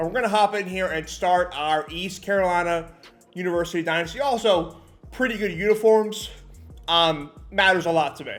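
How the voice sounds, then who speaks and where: High-pitched male speech at a moderate pace, ordinary pitch variation, music in the background. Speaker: gaming YouTuber. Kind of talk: gameplay commentary. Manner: casual, with fillers and restarts.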